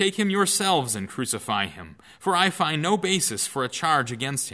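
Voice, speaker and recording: Bright and sharp in tone with vocal fry, a man speaks at a moderate pace with hardly any pauses on a very clean recording with a silent background. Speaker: pastor reading scripture. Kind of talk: scripture reading. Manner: formal, solemn, measured.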